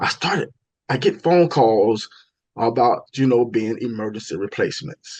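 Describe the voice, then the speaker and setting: The speaker has a strong Southern US accent. The pace is moderate. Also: man, medium pitch for a man, ordinary pitch variation. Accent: heavy Southern US. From US South, Florida (Tallahassee). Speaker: stage and TV actor. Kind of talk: interview, telling career stories. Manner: repetitive, self-correcting, many fillers.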